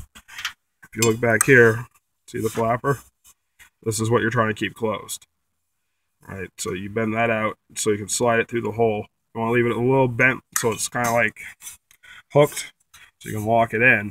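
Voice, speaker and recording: A man's bright, sharp voice in a flat monotone, at a moderate pace with long, frequent pauses, in a dry sound with no echo. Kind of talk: tutorial. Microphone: phone near.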